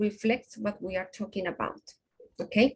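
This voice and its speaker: Somewhat breathy, a woman speaks with fairly even intonation at a moderate pace. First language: not English. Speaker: invited presenter on conference submissions. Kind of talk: online workshop presentation with Q&A.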